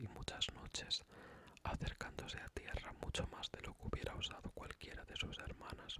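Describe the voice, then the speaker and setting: Someone whispers at a moderate pace. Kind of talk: fairy tale read aloud. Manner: whispered.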